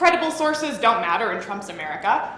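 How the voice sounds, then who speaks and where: A woman with a high pitch speaks in a raised, projected voice with very wide pitch swings. Noticeable background noise and audible room echo surround her. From northern England, moved to US at ten. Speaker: college speech competitor. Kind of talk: competitive comedic speech.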